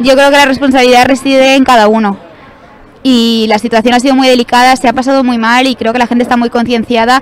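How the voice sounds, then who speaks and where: A woman speaks very fast in a high pitch, with monotone, flat intonation. Noticeable background noise is present. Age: 20s. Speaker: fallera, festival court member. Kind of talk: interview answer.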